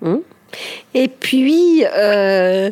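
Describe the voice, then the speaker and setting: Her pitch sits fairly high for a woman. Noticeable background noise is present. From Ticino, Switzerland. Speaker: speech therapist and author. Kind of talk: interview. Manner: halting, many hesitations.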